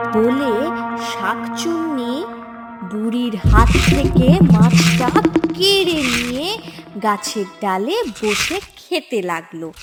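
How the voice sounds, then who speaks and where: A woman's fairly high voice with very wide pitch swings, music in the background. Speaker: voice actor. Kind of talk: cartoon story narration.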